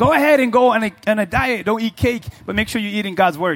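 A man speaking in an animated tone. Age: 40s. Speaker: pastor. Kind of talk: sermon to a live church congregation, call-and-response style. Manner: conversational, joking asides in colloquial speech; animated, punchy preaching with repetition and rhetorical challenges to the crowd.

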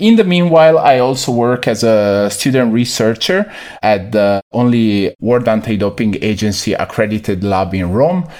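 Here a man speaks with an Italian accent at a medium pitch. His pace is moderate. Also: hardly any pauses. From Italy, Veneto near Venice. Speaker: sports nutritionist. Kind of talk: interview.

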